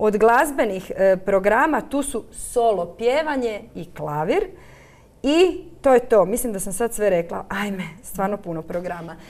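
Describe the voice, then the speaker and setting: A woman at a fairly slow pace, with very wide pitch swings and big swings in loudness. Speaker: centre director. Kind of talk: studio interview. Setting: studio. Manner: hesitant, filler words. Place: studio. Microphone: lapel.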